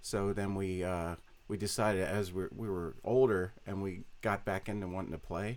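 The pitch of this man's voice is very deep and low. He talks in an American accent. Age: 40s. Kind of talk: casual interview chat. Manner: soft-spoken, humble.

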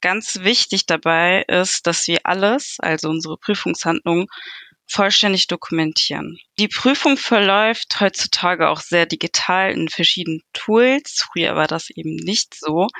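This woman's voice has a bright, sharp tone at a medium pitch, with ordinary pitch variation. She speaks fairly slowly, and the sound is dry and close with no echo. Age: 20s. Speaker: junior auditor. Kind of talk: career interview.

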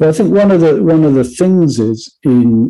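Speaking at a fairly slow pace, a man with an English accent has a dark, mellow tone and lively intonation. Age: 50s. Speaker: songwriter and music educator. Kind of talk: interview.

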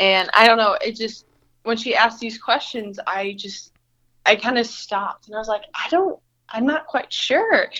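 A woman with an American accent has an unremarkable speaking voice, fairly high in pitch, with ordinary pitch variation and big swings in loudness. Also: moderate pace. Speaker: college student. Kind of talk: casual interview.

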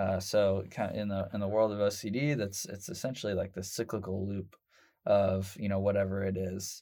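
A man with a Midwestern American accent speaks at a moderate pace in a dark, mellow tone, with fairly low pitch and monotone, flat intonation, in a very clean recording with a silent background. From Indianapolis, Indiana (Southport). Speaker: marketing agency founder. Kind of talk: interview. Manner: casual, hesitant with fillers.

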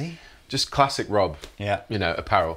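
This man has a Yorkshire accent and lively intonation. He talks at a moderate pace. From northern England, Leeds, West Yorkshire. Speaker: guitarist. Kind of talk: casual interview.

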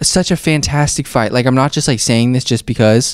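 There is an animated tone to this man's medium-pitched voice. The recording is very clean, with a silent background. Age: 20s. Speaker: podcast host, MMA fan. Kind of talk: casual chat.

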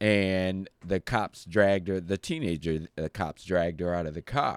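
With an American accent, a man with a plain, everyday voice speaks at a fairly slow pace and fairly low pitch, recorded with a dry, close sound and no echo. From Detroit, Michigan. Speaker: guest on podcast. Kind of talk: casual chat. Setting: in studio with hosts.

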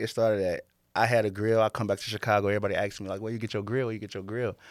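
The recording is very clean, with a silent background. The intonation is monotone and flat. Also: man. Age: 30s. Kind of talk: casual chat.

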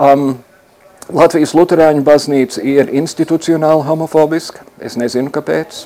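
A man with a fairly high pitch talks in a flat monotone, his loudness swinging widely over noticeable background noise. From US Midwest, Chicago. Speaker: LGBT rights activist. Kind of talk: interview. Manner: hesitant with fillers.

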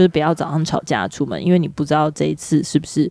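A woman with a very deep, low pitch and a dark, mellow tone talks at a fairly quick pace in monotone, flat intonation, recorded with a dry, close sound and no echo. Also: very clean recording, silent background. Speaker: podcast co-host, mother. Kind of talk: casual chat.

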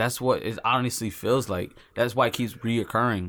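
Delivered at a moderate pace with fairly even intonation, the speech comes on a very clean recording with a silent background. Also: man. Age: 20s. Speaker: truck driver. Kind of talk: casual chat. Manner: halting.

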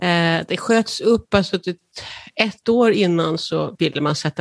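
In a dry, close sound with no echo, a woman with an ordinary speaking voice talks fairly slowly at fairly low pitch, with ordinary pitch variation. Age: 60s. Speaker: patient with cystic fibrosis. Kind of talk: interview.

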